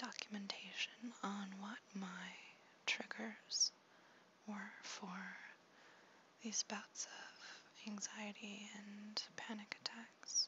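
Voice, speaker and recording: Very slow whispering with long, frequent pauses and noticeable background noise. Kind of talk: ASMR talk to camera. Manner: soft-spoken.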